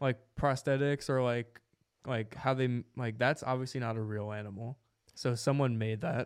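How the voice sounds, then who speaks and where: An ordinary speaking voice with an American accent, fairly even intonation and a moderate pace, in a very clean recording with a silent background. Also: man, medium pitch for a man. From New Jersey, Jersey City. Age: 20s. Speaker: podcast host. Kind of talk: casual chat.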